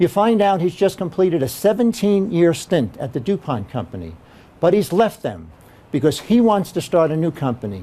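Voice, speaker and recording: A man with a high voice talks loudly at a fairly quick pace, his intonation lively and his tone dark and mellow. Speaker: keynote speaker. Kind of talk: keynote talk. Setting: meeting room with audience. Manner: loud, projecting without mic; animated storytelling.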